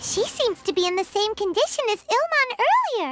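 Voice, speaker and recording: A squeaky put-on character voice comes in at an extremely high pitch. It moves at a fairly quick pace. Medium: solo performance. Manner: casual, curious.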